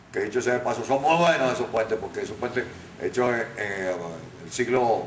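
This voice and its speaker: Noticeable background noise sits under a man speaking at medium pitch. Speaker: radio announcer and journalist. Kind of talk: interview answer.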